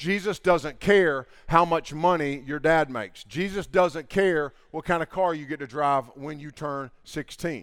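On a very clean recording with a silent background, a man uses a normal speaking voice, fairly high in pitch, with ordinary pitch variation and a fairly slow pace. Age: 50s. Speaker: camp speaker, preacher. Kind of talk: sermon. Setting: camp gathering with audience. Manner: casual, conversational with fillers.

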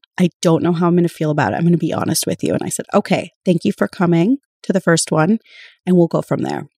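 Very fast and in an American accent, a woman speaks with vocal fry and a dark, mellow tone at a fairly low pitch, with ordinary pitch variation and a dry, close sound with no echo. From rural North Dakota, US. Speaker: bereaved mother. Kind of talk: personal testimony interview.

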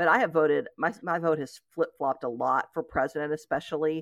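A woman's very deep, low voice in an East Tennessee accent, with lively intonation and a fairly quick pace, in a dry, close sound with no echo and a quiet background. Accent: Southern American (East Tennessee). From Knoxville, Tennessee, US South. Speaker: blogger and writer. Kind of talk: conversational interview.

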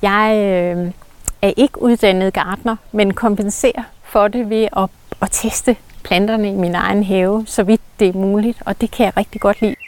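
A woman's medium-pitched voice, an ordinary speaking voice, at a fairly slow pace with fairly even intonation, in a dry, close sound with no echo. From rural Denmark. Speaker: garden architect. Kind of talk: casual interview. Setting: outdoors in a garden.

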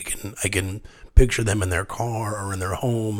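Somewhat breathy, this man's voice sits at a fairly low pitch. He keeps a moderate pace. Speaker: podcast host. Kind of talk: casual interview chat. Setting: home studio. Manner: animated, laughs often.

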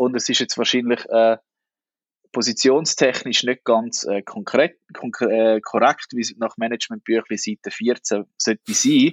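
With an Aargau accent, a man speaks at a fairly slow pace. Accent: Swiss German (Aargau). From Switzerland, Aargau (Niederwil). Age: 30s. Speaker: newspaper editor-in-chief. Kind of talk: interview.

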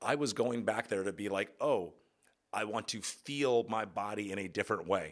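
A man's unremarkable speaking voice, fairly low in pitch with ordinary pitch variation, at a moderate pace in a very clean recording with a silent background. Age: 30s. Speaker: podcast host and yoga teacher. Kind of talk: solo podcast monologue. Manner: casual, filler-heavy.

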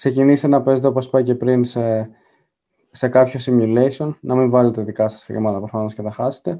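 A man speaks at a medium pitch with a dark, mellow tone. His intonation stays fairly even. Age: 20s. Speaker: university student and investing YouTuber. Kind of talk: interview.

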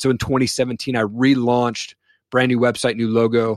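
A man with an American accent talks at a fairly quick pace and medium pitch in a plain, everyday voice. The intonation is fairly even, and the sound is dry and close with no echo. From US Pacific Northwest, eastern Washington. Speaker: podcaster and apparel business owner. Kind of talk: interview testimony.

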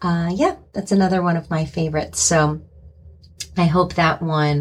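This woman's voice has a fairly low pitch and is somewhat breathy. Her tone is animated. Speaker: podcast host. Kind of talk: casual podcast monologue.

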